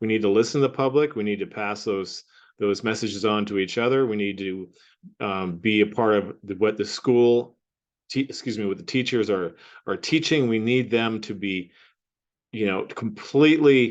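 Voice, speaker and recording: Speech comes in a Pacific Northwest accent. It moves at a moderate pace with ordinary pitch variation. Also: man, fairly low pitch for a man. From Washington State, US (Cle Elum). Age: 60s. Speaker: school board candidate. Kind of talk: candidate interview. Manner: halting, with fillers and restarts.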